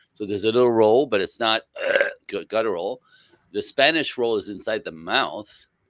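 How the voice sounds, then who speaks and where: In a French Canadian accent, the speaker talks at a moderate pace with long, frequent pauses, the sound dry and close with no echo. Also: man. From French Canada. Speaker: relationship educator. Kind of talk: interview.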